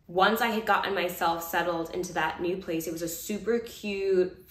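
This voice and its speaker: A woman with an American accent and medium pitch at a moderate pace, with audible room echo. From Brooklyn, New York; New York. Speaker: vlogger, former lawyer; former lawyer vlogger. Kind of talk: casual chat. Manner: animated. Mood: relaxed, reflective storytelling. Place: home room. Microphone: phone near.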